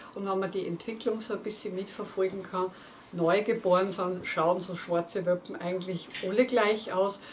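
A woman at a moderate pace amid noticeable background noise. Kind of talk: casual presentation to viewers. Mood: warm, cheerful. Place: studio.

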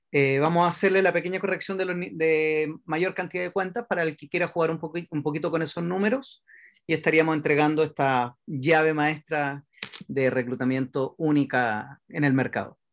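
Moderate pacing and ordinary pitch variation from a man. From Chile. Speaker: network marketing expansion director; presenter. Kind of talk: sales presentation. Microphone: webcam.

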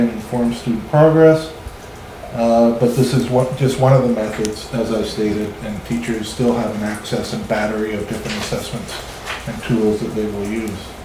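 Amid light background noise and audible room echo, a man speaks at a moderate pace with fairly even intonation. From Canada. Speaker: school superintendent. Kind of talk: presentation. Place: meeting room.

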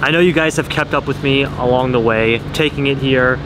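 Fairly quick speech with a dry, echo-free sound and noticeable background noise. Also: man. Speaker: car vlogger. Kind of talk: casual vlog chat. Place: street. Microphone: phone near.

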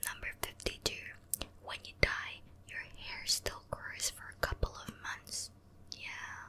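A woman whispers very slowly, her volume rising and falling sharply between long pauses that come often. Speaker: ASMR creator. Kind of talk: ASMR whispered fact reading. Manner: whispered. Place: home room. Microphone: studio mic.

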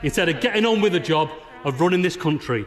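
A man with a northern English accent and lively intonation. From Northern England. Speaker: politician. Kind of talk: parliamentary speech. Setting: debating chamber with echo. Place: hall. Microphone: podium.

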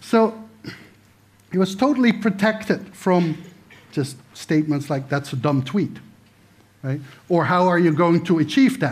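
A man talks in a high pitch with lively intonation. His speech has long, frequent pauses. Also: fairly slow pace. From Netherlands. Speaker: political science professor. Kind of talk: lecture. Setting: stage with audience. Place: stage.

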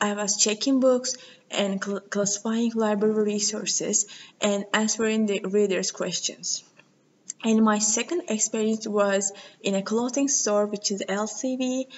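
A woman speaks with a Turkish accent. Her intonation is fairly even. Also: fairly high pitch for a woman, fairly slow pace. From Turkey. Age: 20s. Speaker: university student. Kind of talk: video CV self-introduction. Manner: halting. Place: meeting room. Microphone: webcam.

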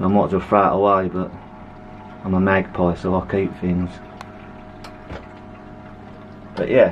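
Very deep and low in pitch, a man speaks in a flat monotone over light background noise. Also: moderate pace. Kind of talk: casual vlog chat. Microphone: phone near.

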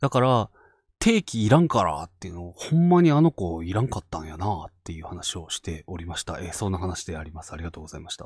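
Very fast and somewhat breathy, a man with a very deep, low pitch speaks in a dry, close sound with no echo. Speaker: ghost story channel host. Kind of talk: casual chat. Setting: online live stream.

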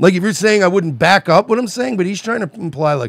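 A man's voice with a dry sound and no echo. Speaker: podcast co-host. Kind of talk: casual commentary rant. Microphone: studio mic.

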